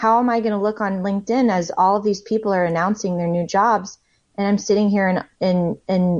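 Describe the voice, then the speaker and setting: At a moderate pace, a woman with an ordinary speaking voice talks at medium pitch, her intonation fairly even and her loudness very even. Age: 30s. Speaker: author. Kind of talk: interview.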